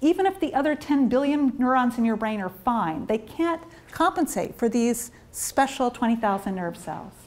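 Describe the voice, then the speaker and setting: A woman with an American accent talks at a moderate pace. Her high pitch moves through very wide swings. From US. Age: 50s. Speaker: neuroscientist; presenter. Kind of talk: lecture. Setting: stage with audience. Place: meeting room.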